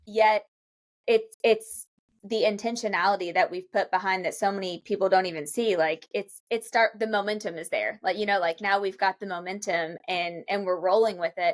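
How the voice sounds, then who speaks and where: With a Kentucky accent, a woman of medium pitch speaks at a moderate pace with fairly even intonation, her voice dry and close with no echo. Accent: Kentucky Southern US. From Kentucky, Lexington. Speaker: real estate brokerage executive. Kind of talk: podcast interview.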